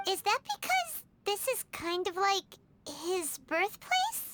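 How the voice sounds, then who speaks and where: Squeaky and extremely high-pitched, a put-on character voice moves at a fairly slow pace over music in the background. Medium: video game. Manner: chatty, animated.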